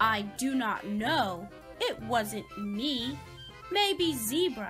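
With faint music in the background, a woman uses a put-on character voice at a fairly high pitch, with a fairly bright tone, lively intonation and a very slow pace.

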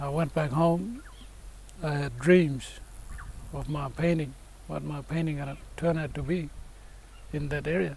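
Speaking at a fairly slow pace with long, frequent pauses, a man with a fairly high, somewhat breathy voice keeps his intonation fairly even amid audible room echo. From Fitzroy Crossing, Kimberley, Western Australia. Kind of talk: interview.

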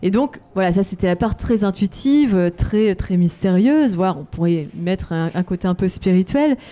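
With a dark, mellow tone, a woman speaks with lively intonation, very even loudness and hardly any pauses. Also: medium pitch for a woman, moderate pace. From France. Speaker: adventurer and author. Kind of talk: interview. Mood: reflective, warm. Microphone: handheld.

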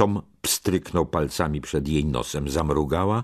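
Over a quiet background, a man with a very deep, low voice and vocal fry speaks at a fairly slow pace with ordinary pitch variation. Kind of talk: audiobook narration. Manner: dramatic, gripping narration that tenses at the frenzied sermon lines.

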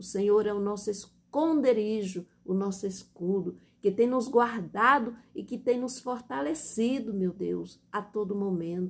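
In a Brazilian accent, a woman speaks with a solemn tone at a fairly slow pace. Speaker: church deaconess preacher. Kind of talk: evangelical sermon and Bible reading. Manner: impassioned, earnest and heartfelt, with the solemn cadence of an evangelical prayer. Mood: fervent, emotional prayer. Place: home room. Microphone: phone near.

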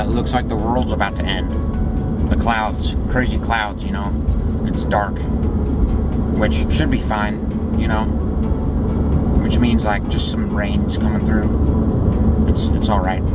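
A man speaks at a fairly slow pace, leaving long, frequent pauses. Music plays in the background, and the sound is dry with no echo. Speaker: vlogger. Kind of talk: casual vlog chat. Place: car. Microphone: phone near.

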